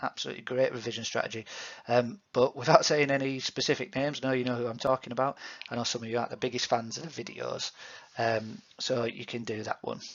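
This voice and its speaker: This man has a Yorkshire accent and medium pitch. He speaks very fast with fairly even intonation. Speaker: PE teacher. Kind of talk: recorded feedback to students. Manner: hesitant, many fillers.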